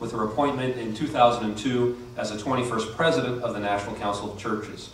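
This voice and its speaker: There is light background noise and audible room echo. A man speaks with ordinary pitch variation. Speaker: event host introducing speaker. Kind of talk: formal introduction speech. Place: hall.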